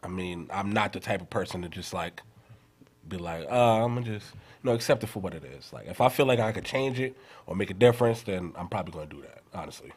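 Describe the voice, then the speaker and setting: With a New York accent, a man talks at a very fast pace in a fairly low voice, his intonation lively and his loudness swinging widely. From New York, Queens. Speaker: rapper. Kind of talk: interview. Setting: studio.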